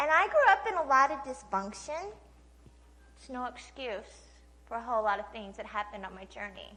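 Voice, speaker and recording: With a slight Oklahoma accent, the voice is raised and projected, with very wide pitch swings. Background noise is noticeable. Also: woman. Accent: slight Oklahoma twang. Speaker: speaker, trafficking and addiction survivor. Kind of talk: testimony. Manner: casual, conversational with many fillers.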